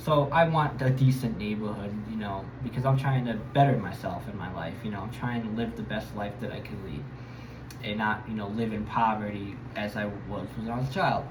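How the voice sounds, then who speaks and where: The speaker has an American accent and audible room echo. Noticeable background noise runs underneath. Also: man, fairly low pitch for a man, ordinary pitch variation, moderate pace. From Connecticut, US (Bridgeport). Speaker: travel vlogger. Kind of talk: casual monologue. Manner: hesitant, many fillers.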